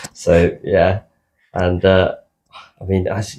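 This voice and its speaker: A man speaks in a South London accent at a fairly low pitch. His voice is somewhat breathy, with fairly even intonation. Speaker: podcast co-host. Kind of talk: casual chat.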